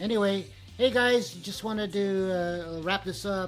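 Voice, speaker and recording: Music plays in the background as a man speaks at a moderate pace with ordinary pitch variation. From Philippines. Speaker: musician and webcast host. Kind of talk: casual chat.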